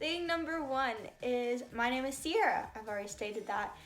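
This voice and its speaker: With an American accent and a high pitch, a woman speaks at a moderate pace with lively intonation, amid noticeable background noise and audible room echo. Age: 20s. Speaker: YouTuber. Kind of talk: casual vlog introduction.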